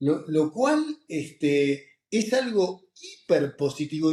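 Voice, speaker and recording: The tone is dark and mellow. Pitch swings are very wide. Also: man. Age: 60s. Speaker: oncologist and professor. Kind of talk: interview. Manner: animated.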